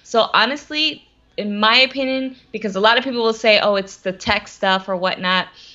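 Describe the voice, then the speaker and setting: Speaking at a moderate pace, a woman with an unremarkable speaking voice sits fairly high in pitch, with ordinary pitch variation. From US South, Atlanta, Georgia. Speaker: social media strategist. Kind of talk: interview. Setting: live video stream.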